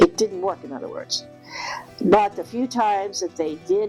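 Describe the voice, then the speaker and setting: A woman speaks at a moderate pace. Music plays in the background. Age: 80s+. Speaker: hypnotherapist. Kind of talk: spiritual talk to camera.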